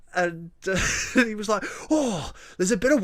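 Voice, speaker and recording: The voice is loud, with a bright, sharp tone and lively intonation. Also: man. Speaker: podcast co-host. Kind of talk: casual chat. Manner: loud and animated.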